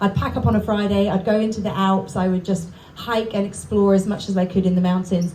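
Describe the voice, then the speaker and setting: Woman with an English accent, medium pitch, monotone, flat intonation, very even loudness and a fairly quick pace over noticeable background noise. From England. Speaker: book contributor, hiker. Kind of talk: speech to audience.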